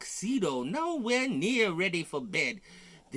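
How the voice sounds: The text is voiced aloud. It comes across as a natural reading voice.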